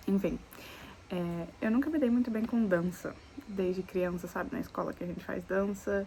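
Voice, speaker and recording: A woman at medium pitch and moderate pace, with ordinary pitch variation, over noticeable background noise. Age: 20s. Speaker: lifestyle vlogger. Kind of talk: casual vlog talk to camera. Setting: outdoors.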